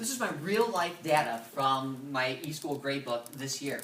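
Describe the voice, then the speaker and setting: Heard with audible room echo, a man speaks with ordinary pitch variation. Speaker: middle school science teacher. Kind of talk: presentation. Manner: fast.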